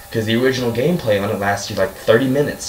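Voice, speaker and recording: A man speaks amid noticeable background noise, with audible room echo. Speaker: gaming YouTuber. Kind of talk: rant. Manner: fast; animated.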